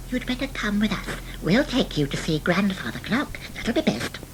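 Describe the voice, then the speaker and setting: A female-sounding voice performs a put-on character voice at a medium pitch and a moderate pace. Clear background noise is present. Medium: read story.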